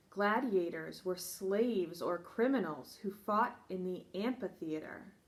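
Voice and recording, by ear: The voice is natural while reading aloud. Its pitch shows ordinary variation.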